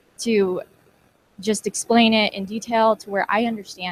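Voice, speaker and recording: With an American accent, a woman talks at a medium pitch and sounds somewhat breathy. The sound is dry and close, with no echo. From Colorado. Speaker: community college student. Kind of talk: testimonial speech.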